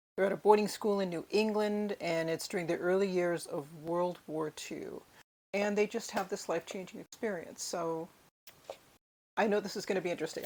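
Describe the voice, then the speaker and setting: A woman with an American accent, an unremarkable speaking voice, a fairly quick pace and fairly even intonation. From United States. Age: 60s. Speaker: book vlogger. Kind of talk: book haul video. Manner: casual with fillers.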